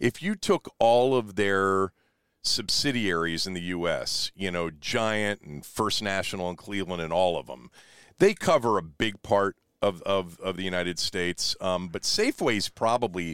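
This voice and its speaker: In a plain, everyday voice, a man speaks at a moderate pace and a fairly low pitch with ordinary pitch variation, on a very clean recording with a silent background and a dry, close sound with no echo. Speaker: sports radio host. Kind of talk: casual chat. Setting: in a van.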